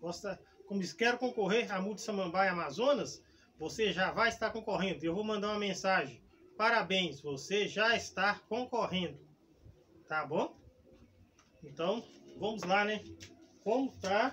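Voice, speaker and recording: Long, frequent pauses break up this high-pitched man's speech, with light background noise behind him. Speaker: gardening channel host. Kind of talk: tutorial. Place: garden.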